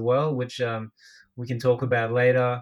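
With an Australian accent, the speaker keeps a moderate pace and a monotone, flat intonation. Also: man. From Australia (Brisbane), Filipino heritage. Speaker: podcast co-host, writer and former marketing agency owner. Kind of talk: casual chat. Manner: joking, laughs often.

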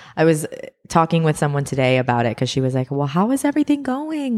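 A woman talks at a very fast pace in an animated tone with lively intonation. The recording is very clean and the background silent. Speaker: podcast co-host. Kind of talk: casual chat. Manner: animated, laughing.

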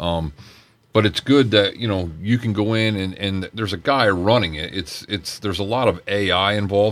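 With an American accent, a man speaks in a normal speaking voice at a moderate pace, fairly low in pitch with fairly even intonation. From Pennsylvania, Poconos. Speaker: school resource police officer, ex-Marine. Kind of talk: radio interview.

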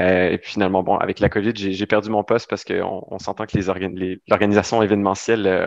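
In a dry, close recording with no echo, a man speaks in a fairly low pitch with monotone, flat intonation. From Ontario, Sudbury. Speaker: flight attendant and youth ambassador. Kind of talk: interview.

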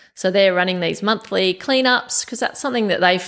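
A woman with an Australian accent speaks at a medium pitch, with vocal fry. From Australia, western Sydney. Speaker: environmental group vice president. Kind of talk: casual interview. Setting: home kitchen. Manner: animated.

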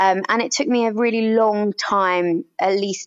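A woman with a British accent talks at a moderate pace. Her intonation is lively. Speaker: doctor and author. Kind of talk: interview about personal illness. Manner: passionate, strong.

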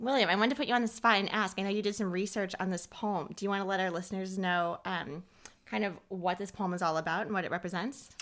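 Speaking at a very fast pace, a woman has a medium pitch. Her pitch varies in an ordinary way. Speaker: podcast co-host, cancer patient. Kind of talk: poetry reading, warm and lightly comic, with flubs. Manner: expressive, giggly, conversational.

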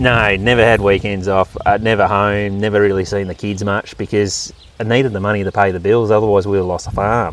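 The speaker has a rural Australian accent and moves at a fairly quick pace with hardly any pauses. Intonation stays fairly even over music in the background. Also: man, fairly low pitch for a man. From Australia, Victoria (Wimmera, near Donald). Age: 30s. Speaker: farmer. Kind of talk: interview. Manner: halting.

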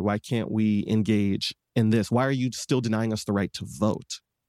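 Here is a man with an American accent and an unremarkable speaking voice, fairly low in pitch with fairly even intonation at a moderate pace. The recording is very clean with a silent background and a dry, close sound with no echo. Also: hardly any pauses. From Detroit, Michigan, US. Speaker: singer-songwriter and advocate. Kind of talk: interview conversation.

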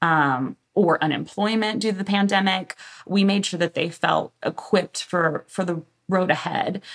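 With an American accent, a woman speaks in a normal speaking voice at medium pitch and a moderate pace. Her pitch variation is ordinary, and the sound is dry and close with no echo. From US South, Galveston, Texas. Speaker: marketing director. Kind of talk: interview.

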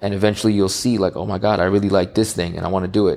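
A man speaks in a New York accent, his voice fairly low. The recording is very clean, with a silent background. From New York, Queens. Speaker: entrepreneur and audio engineer. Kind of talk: interview chat.

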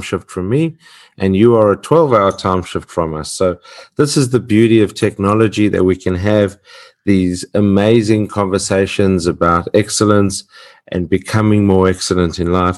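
A man's fairly low voice in an Australian accent, at a moderate pace with ordinary pitch variation. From Australia (Perth, Western Australia). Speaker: podcast host. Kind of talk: podcast interview. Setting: remote call.

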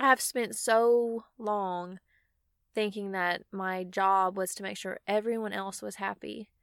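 A woman speaks very slowly at a medium pitch, her intonation fairly even but her loudness swinging widely. The recording is very clean with a silent background, dry and close with no echo. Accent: Southern US. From Mississippi. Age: 20s. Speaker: podcast host, van lifer. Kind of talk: solo personal monologue. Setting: inside a van.

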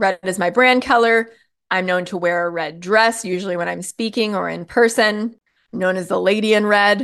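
A woman with a plain, everyday voice speaks at medium pitch and a moderate pace. Her intonation is fairly even, and the background is quiet. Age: 40s. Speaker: podcast host, marketing and messaging coach. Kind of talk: solo podcast talk, coaching monologue.

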